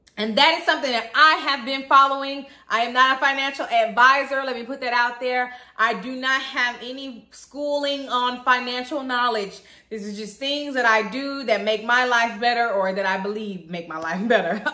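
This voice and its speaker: A woman's high voice at a moderate pace, with big swings in loudness, ordinary pitch variation and audible room echo. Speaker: vlogger. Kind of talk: casual vlog chat. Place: home room. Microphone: phone near.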